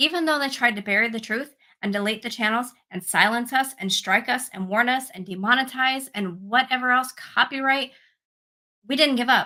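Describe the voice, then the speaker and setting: The delivery is animated, with a bright, sharp tone and ordinary pitch variation. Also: woman, high pitch for a woman. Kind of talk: casual livestream chat with viewers. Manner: fast.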